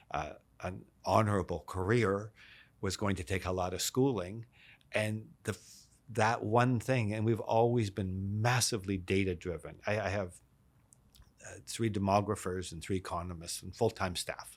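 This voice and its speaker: An ordinary speaking voice with a Canadian accent, at a moderate pace with fairly even intonation and big swings in loudness, on a very clean recording with a silent background. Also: man, fairly low pitch for a man. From Canada, Vancouver. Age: 60s. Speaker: real estate executive. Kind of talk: interview. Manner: repetitive restarts.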